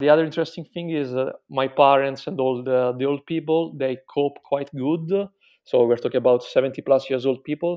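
Here a man talks with an Italian accent. His fairly high voice keeps a fairly even intonation. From Italy. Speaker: Italian digital marketing professional living in Milan. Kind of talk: casual interview about life under coronavirus lockdown. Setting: remote call interview. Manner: hesitant, with frequent fillers.

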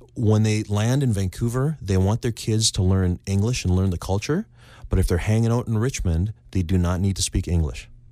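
Recorded very cleanly over a silent background, a man with a Canadian accent and an unremarkable speaking voice speaks at a moderate pace and fairly low pitch, with ordinary pitch variation and very even loudness. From Canada, Victoria BC. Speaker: real estate agent. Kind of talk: casual interview.

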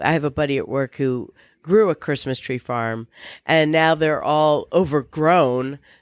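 A man with an American accent speaks in a normal speaking voice, at a fairly slow pace, with ordinary pitch variation. The sound is dry and close with no echo, on a very clean recording with a silent background. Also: fairly high pitch for a man. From Virginia, US. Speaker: podcast co-host and producer. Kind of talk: casual chat.

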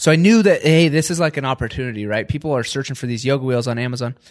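A man with a plain, everyday voice, an American accent, fairly high pitch and ordinary pitch variation, in a dry, close sound with no echo. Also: quiet background. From Washington State, US. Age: 20s. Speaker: entrepreneur. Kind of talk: interview.

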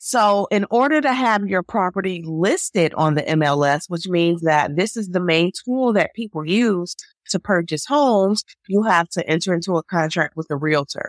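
There is a woman with an American accent and an unremarkable speaking voice. She uses lively intonation at a moderate pace, with a dry, close sound with no echo. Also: medium pitch for a woman. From Chicago, US Midwest. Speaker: public health attorney, podcast co-host. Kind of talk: casual legal discussion.

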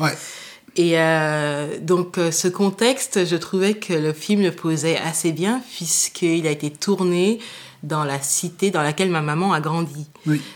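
Her pitch fairly low, a woman speaks at a fairly slow pace with ordinary pitch variation. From Paris suburbs, France. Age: 30s. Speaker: law student and NGO communications officer. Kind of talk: interview. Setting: at home. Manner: hesitant, many fillers.

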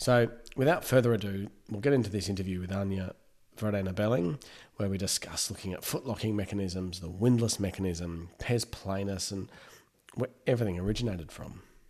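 Using a fairly low pitch and ordinary pitch variation, a man talks at a fairly quick pace. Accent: Australian. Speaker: podiatry podcast host. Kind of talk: interview. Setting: building noise in background.

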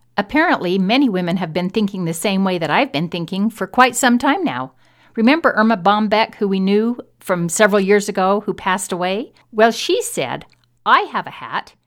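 A woman speaks with an American accent at a medium pitch. Her intonation is lively, and the recording is very clean with a silent background. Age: 60s. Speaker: podcast host. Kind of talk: solo monologue. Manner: fast talker.

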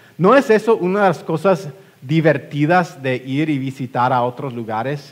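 A man talks fairly slowly, his pitch fairly high. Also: big swings in loudness. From West Texas, US. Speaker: pastor. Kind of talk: sermon. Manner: halting, frequent fillers and repetitions.

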